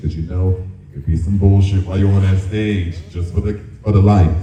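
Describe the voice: A man speaks at a low pitch with a dark, mellow tone and ordinary pitch variation. The room echo is audible.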